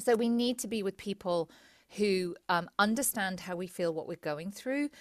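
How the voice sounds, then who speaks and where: A woman speaks with a southern English accent and lively intonation. The recording is very clean, with a silent background. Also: dry, close sound with no echo. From England, Cambridge area. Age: 40s. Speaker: psychotherapist. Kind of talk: interview conversation.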